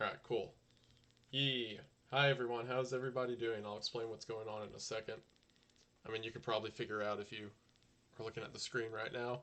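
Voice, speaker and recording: Soft-spoken and at medium pitch, a man talks at a very fast pace in a flat monotone, broken by long, frequent pauses. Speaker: YouTuber streaming live. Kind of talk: casual live stream chat. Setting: home live stream. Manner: quiet, soft-spoken.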